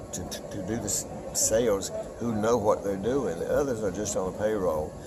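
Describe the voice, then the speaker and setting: Noticeable background noise is present. The speech moves at a moderate pace. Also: man. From North Carolina, USA. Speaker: auctioneer. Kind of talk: interview answer.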